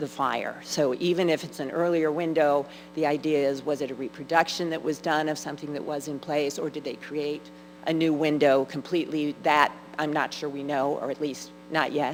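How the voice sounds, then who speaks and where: A woman with a very deep, low voice speaks at a moderate pace over music in the background. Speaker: church researcher presenting on stained glass. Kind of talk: Q&A at adult education forum. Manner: loud.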